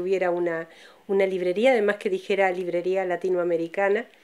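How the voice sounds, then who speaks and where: A woman speaks over noticeable background noise. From Uruguay. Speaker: bookshop owner. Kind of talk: interview. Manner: hesitant.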